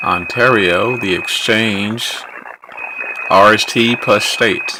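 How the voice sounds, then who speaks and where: In an American accent, the speaker goes at a very slow pace, with audible room echo and noticeable background noise. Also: man. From Texas. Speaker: ham radio operator. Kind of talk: casual solo commentary while operating radio.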